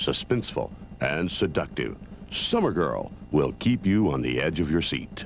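Light background noise sits under a dry recording with no echo, where a man speaks at a moderate pace. His voice has vocal fry and very wide pitch swings. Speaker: promo announcer. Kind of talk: trailer voice-over narration. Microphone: old recording.

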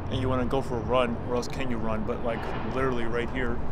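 Over loud background noise, a man speaks at a very fast pace in a dry sound with no echo. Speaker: vlogger. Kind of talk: casual vlog chat. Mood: reflective, nostalgic. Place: street. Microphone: phone near.

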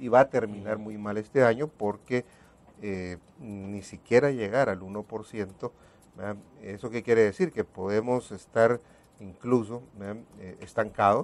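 A fairly low-pitched man at a fairly slow pace, fairly even in intonation, with long, frequent pauses. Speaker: guest. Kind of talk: interview answer. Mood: serious, analytical. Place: studio. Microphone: lapel.

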